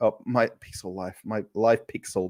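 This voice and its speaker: On a very clean recording with a silent background, a man with an Australian accent speaks at a medium pitch in a dark, mellow tone. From Australia, Perth. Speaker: travel vlogger. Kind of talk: live stream chat. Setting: home kitchen. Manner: casual, hesitant with fillers.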